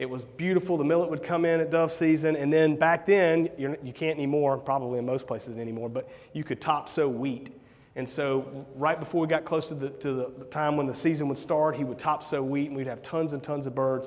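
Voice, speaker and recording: Talking at a fairly quick pace, a man with a Southern US accent keeps a fairly high pitch and fairly even intonation. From US South, South Carolina. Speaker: real estate investor and coach. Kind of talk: conference talk. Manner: casual, hesitant with repeated words.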